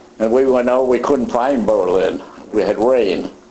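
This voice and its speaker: Noticeable background noise is present. The speaker moves at a fairly quick pace. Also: man. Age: 80s+. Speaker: WWII pilot and veteran. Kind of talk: interview answer.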